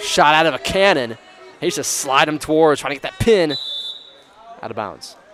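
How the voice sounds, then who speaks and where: In an American accent, a man with a fairly high pitch talks at a moderate pace with lively intonation, big swings in loudness and long, frequent pauses over noticeable background noise. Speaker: wrestling commentator. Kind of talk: live commentary. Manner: casual, chatty.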